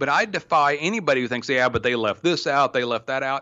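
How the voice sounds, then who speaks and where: A man speaks in an American accent. His pitch sits in the medium range. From Oklahoma. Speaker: private investigator. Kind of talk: interview.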